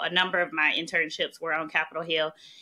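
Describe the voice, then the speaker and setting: A woman talks at a very fast pace. She has a Southern US accent. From US South, small-town Mississippi. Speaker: national security policy expert. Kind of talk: podcast interview.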